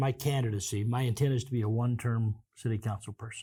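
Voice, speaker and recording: In an American accent, a man speaks at a moderate pace with medium pitch and ordinary pitch variation. His voice is somewhat breathy. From Kansas. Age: 60s. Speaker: city councilman. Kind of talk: interview.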